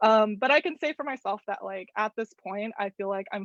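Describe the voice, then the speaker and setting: A woman talks at a fairly quick pace in an ordinary speaking voice. Her pitch is fairly high with ordinary variation. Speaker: visual artist leading a journaling workshop. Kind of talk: online workshop presentation.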